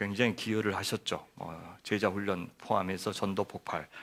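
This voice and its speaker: The recording is very clean, with a silent background. A man speaks at a fairly low pitch and a fairly slow pace. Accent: Jeolla. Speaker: guest pastor. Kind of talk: sermon.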